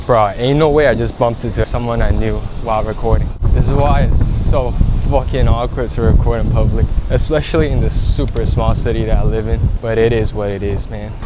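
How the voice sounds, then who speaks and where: Audible room echo and noticeable background noise surround a man as he talks fairly quickly. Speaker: beginner vlogger. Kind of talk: casual vlog. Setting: outdoors in a city. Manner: stutters at times; quiet, not loud.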